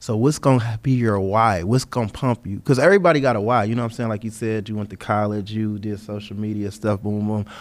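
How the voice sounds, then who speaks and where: On a very clean recording with a silent background, a man with a fairly low voice rushes along at a very fast pace, fairly even in intonation and with hardly any pauses. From US Midwest (Detroit). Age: 30s. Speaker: door-to-door salesman. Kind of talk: casual chat.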